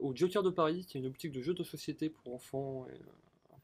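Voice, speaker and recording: Somewhat breathy, the man's voice shows ordinary pitch variation. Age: 20s. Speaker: shop worker. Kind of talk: interview. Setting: outdoors in a garden. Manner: hesitant, many fillers.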